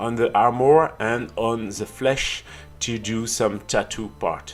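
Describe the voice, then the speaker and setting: Over music in the background, a man with a French accent speaks at a very slow pace. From France. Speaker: miniature painting youtuber. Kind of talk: tutorial. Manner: halting, many fillers.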